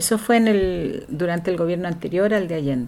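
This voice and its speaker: A woman's fairly low voice with ordinary pitch variation and noticeable background noise. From southern Chile (Valdivia), raised partly in Valparaíso. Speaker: writer and educator, former political exile. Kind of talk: interview, personal life story. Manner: hesitant, many fillers.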